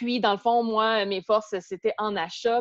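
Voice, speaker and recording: A woman with a Quebec accent speaks at a moderate pace and a medium pitch, in a dry, close sound with no echo against a quiet background. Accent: Québécois French. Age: 30s. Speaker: fitness instructor and eating disorder recovery blogger. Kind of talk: interview testimony. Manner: hesitant, many fillers and repetitions.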